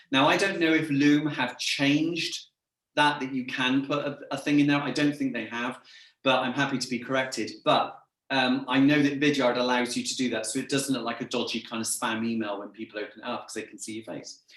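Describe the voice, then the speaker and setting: In an English accent, a man talks fairly quickly at a medium pitch. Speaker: sales trainer and business owner. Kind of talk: interview chat. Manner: camp; energetic.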